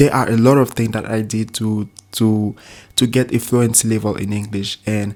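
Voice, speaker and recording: A man speaks at a medium pitch and moderate pace with monotone, flat intonation. The recording is very clean, with a silent background. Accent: non-native. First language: not English. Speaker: language learning YouTuber. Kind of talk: casual tutorial talk to camera. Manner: halting, with repetitions and fillers.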